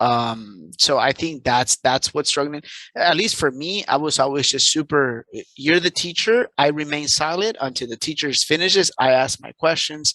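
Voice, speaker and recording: A man with a Spanish accent talks in a bright, sharp tone at a fairly high pitch, the sound dry and close with no echo over a quiet background. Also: ordinary pitch variation, moderate pace. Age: 30s. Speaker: entrepreneur and life coach. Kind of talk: interview. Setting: video call. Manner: halting.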